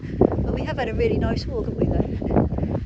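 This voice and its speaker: With noticeable background noise behind her, a woman talks at a fairly quick pace in a Suffolk accent. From Suffolk, England. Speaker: vlogger. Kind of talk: casual chat. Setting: outdoors. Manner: hesitant, with many fillers.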